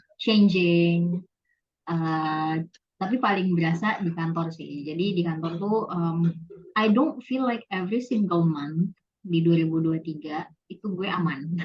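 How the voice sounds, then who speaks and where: A woman talks in a somewhat breathy, fairly low voice. Her pace is fairly slow, with ordinary pitch variation. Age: 20s. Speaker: office worker. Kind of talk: casual interview. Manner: casual, code-switching, many fillers.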